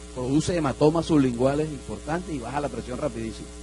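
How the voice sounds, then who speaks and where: A man races along at a very fast pace while noticeable background noise carries on behind him. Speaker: doctor lecturing at medical congress. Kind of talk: lecture.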